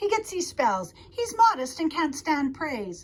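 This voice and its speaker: Putting on a character voice, a woman speaks at a fairly slow pace and high pitch, her pitch swinging very widely. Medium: read story.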